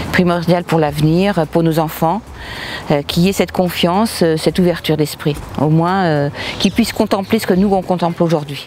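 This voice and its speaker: The loudness stays very even and the intonation fairly even. Noticeable background noise runs underneath. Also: woman, fairly low pitch for a woman, moderate pace. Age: 60s. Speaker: resident of a housing estate. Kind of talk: interview.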